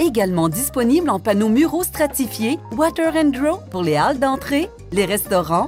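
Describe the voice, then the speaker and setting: Over music in the background, a woman with a fairly high pitch speaks at a fairly slow pace with hardly any pauses. Her loudness stays very even while her pitch swings very widely. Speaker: voice actor. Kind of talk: infomercial read.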